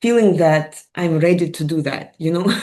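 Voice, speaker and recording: Her voice, fairly low in pitch, carries a Russian accent as the woman speaks with ordinary pitch variation. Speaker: mind and wellness coach. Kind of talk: interview. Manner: hesitant.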